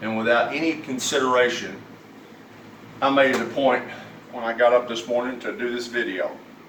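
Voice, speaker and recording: With an Arkansas accent, a man of medium pitch talks at a fairly quick pace with fairly even intonation and long, frequent pauses, amid audible room echo and noticeable background noise. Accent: US Southern (Arkansas). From Arkansas, Fort Smith. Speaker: vlogger. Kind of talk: angry personal rant. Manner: halting.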